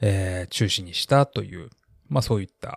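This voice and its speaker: In a very clean recording with a silent background and a dry, close sound with no echo, a man speaks at a fairly low pitch with ordinary pitch variation and a somewhat breathy voice. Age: 40s. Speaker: podcast host. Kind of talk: solo podcast monologue. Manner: many filler words.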